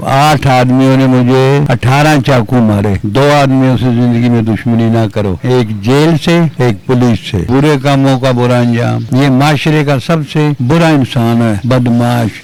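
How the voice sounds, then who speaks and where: With noticeable background noise behind him, a man speaks at medium pitch with very even loudness, ordinary pitch variation and hardly any pauses. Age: 60s. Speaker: retired wrestler. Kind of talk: interview storytelling.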